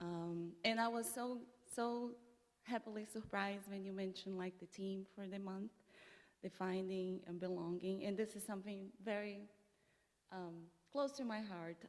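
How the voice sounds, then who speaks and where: A woman at a medium pitch with a Brazilian Portuguese accent, moderate pace and ordinary pitch variation. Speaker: immigrant legal advocate, former attorney. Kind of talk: personal testimony talk at church service. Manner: halting, many fillers and restarts.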